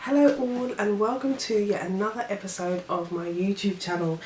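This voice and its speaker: A woman talks at a moderate pace while noticeable background noise continues. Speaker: vlogger. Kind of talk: casual vlog talk.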